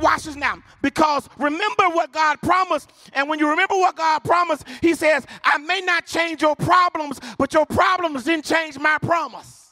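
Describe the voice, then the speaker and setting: In a raised, projected voice with a bright, sharp tone, a speaker with an American accent goes at a moderate pace. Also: man, extremely high pitch for a man. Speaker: preacher. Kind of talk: sermon. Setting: church with live congregation. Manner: call-and-response, urgent and fervent, pushing the crowd to shout back; animated.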